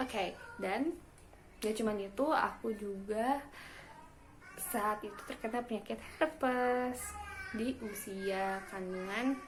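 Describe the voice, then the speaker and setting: Amid noticeable background noise, a woman speaks at a fairly high pitch with ordinary pitch variation and long, frequent pauses. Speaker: new mother. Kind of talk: casual talk to camera.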